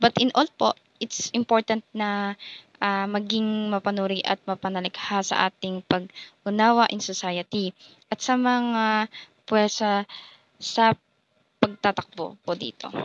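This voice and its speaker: Soft-spoken and fairly slow, the voice keeps a monotone, flat intonation with a dry, close sound and no echo. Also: woman, medium pitch for a woman. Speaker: education student. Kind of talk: class assignment reaction. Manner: halting.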